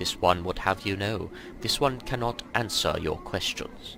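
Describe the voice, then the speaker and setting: A resonant put-on character voice talks at a moderate pace. Clear background noise is audible. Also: man, medium pitch for a man. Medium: game stream. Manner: formal, refers to himself as this one.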